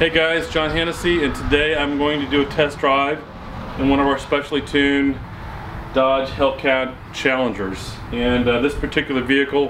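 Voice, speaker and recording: A man talks at a moderate pace with fairly even intonation. Noticeable background noise is present. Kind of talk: presenter intro to a test drive. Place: street.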